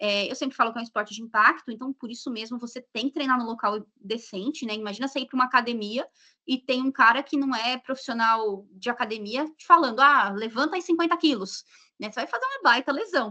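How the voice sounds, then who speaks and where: A woman speaks very fast in a high, bright, sharp voice with ordinary pitch variation and big swings in loudness, the sound dry and close with no echo. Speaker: dog sports and genetics instructor. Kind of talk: live stream interview.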